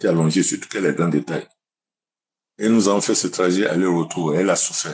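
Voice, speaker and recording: The speech runs at a very fast pace with ordinary pitch variation and long, frequent pauses. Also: man. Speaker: testimony giver. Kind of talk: testimony.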